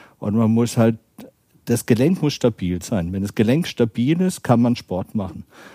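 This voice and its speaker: A man speaks with a slight Baden accent and medium pitch, using lively intonation. His pace is moderate, and the sound is dry and close with no echo. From southern Germany, Baden (between Freiburg and Karlsruhe). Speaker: orthopedic surgeon. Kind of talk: interview.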